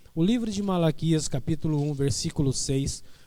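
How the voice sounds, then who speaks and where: Audible room echo surrounds a man whose fairly high pitch carries a dark, mellow tone. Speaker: pastor. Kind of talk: sermon. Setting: church online Bible school broadcast. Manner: soft-spoken.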